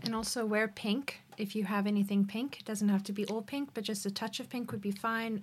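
At a fairly quick pace, a woman talks in a somewhat breathy voice of medium pitch. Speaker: missionary. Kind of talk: memorial tribute conversation. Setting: studio.

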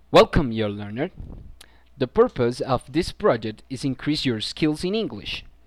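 A man with a Spanish accent at medium pitch and moderate pace, very wide pitch swings, in a very clean recording with a silent background and dry, close sound with no echo. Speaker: student presenter of a pronunciation program. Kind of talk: scripted narration.

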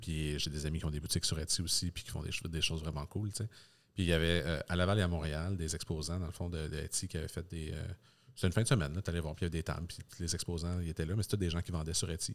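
A very deep, low male voice with a Quebec accent, very fast, with fairly even intonation. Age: 30s. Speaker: podcast host. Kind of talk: casual chat.

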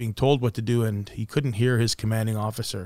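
The man's voice sits at a medium pitch with fairly even intonation, an unremarkable speaking voice. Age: 50s. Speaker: podcast host, business professional. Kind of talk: casual chat.

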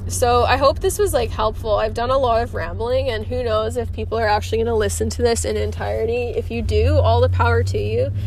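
A woman talking fairly quickly with hardly any pauses, over noticeable background noise. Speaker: horse trainer and podcaster. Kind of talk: casual monologue. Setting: in a car. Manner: rambling, filler-heavy.

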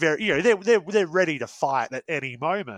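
With an Australian accent, a man's voice swings very widely in pitch, recorded very cleanly against a silent background with a dry, close sound and no echo. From Australia, Perth suburbs. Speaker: guest host. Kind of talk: casual chat.

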